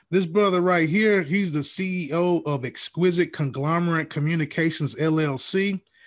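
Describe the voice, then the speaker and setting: A man with a Southern US accent speaks in a high voice with fairly even intonation, hardly pausing, against a quiet background. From Alabama. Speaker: podcast host. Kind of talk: scripted intro; casual interview. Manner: relaxed slangy.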